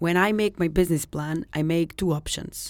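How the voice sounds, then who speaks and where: With a Serbian accent, a woman talks at a moderate pace in a fairly low pitch and fairly even intonation, on a very clean recording with a silent background. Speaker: secondhand clothing store owner. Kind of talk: interview. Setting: studio. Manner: halting.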